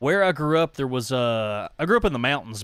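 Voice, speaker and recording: With a Southern accent, a man talks at a medium pitch using lively intonation. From East Tennessee, Appalachia. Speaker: gaming streamer. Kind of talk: live gameplay commentary. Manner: animated.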